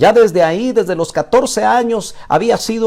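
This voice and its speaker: Lively intonation from a man with a high voice. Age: 60s. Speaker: pastor. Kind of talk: sermon. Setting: live stream broadcast.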